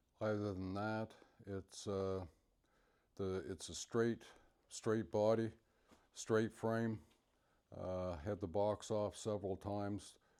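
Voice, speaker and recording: Very slowly and with long, frequent pauses, a man speaks in a monotone, flat delivery, his fairly low voice dark and mellow in tone. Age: 60s. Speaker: classic car owner. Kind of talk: casual show-and-tell interview. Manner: halting, many fillers.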